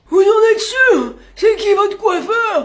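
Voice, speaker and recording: Extremely high pitch in a put-on character voice, delivered at a fairly slow pace. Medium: comedy sketch.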